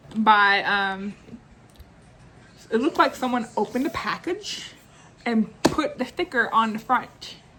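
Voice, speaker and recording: A woman talks at a fairly slow pace in a fairly high pitch, with noticeable background noise. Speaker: booktuber. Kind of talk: casual chat. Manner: halting.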